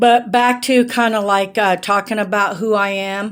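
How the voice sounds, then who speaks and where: Fairly even intonation marks a woman's speech in a very clean recording with a silent background. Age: 60s. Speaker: vlogger, amateur painter. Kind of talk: casual talk to camera. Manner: halting, many fillers.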